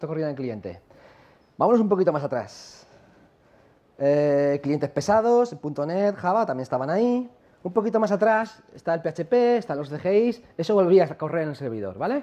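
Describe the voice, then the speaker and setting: With a dark, mellow tone and a high pitch, a man swings widely in pitch at a moderate pace, leaving long, frequent pauses. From La Mancha, Spain; Spain. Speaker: software company founder, conference speaker; conference speaker. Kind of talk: conference talk. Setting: stage with audience. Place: hall.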